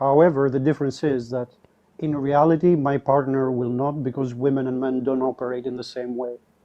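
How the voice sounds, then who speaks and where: A man with a non-native accent and fairly high pitch, at a fairly quick pace with fairly even intonation. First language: not English. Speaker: caller on live debate stream. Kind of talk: debate.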